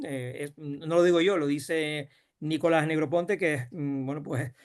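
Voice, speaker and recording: The man speaks with a fairly high pitch. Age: 60s. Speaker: rural development official. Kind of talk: panel discussion. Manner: halting.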